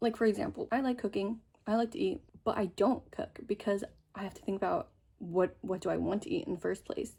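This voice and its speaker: On a very clean recording with a silent background, a woman with an American accent speaks at a very fast pace in a somewhat breathy, animated tone, her fairly high pitch showing very wide swings. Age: 20s. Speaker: lifestyle vlogger. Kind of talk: casual vlog monologue.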